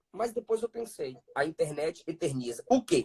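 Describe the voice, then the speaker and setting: The speaker has an animated tone and very wide pitch swings at a fairly slow pace. The sound is dry and close, with no echo. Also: man. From Brazil, Bahia (Ilhéus). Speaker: pentecostal preacher. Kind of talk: interview.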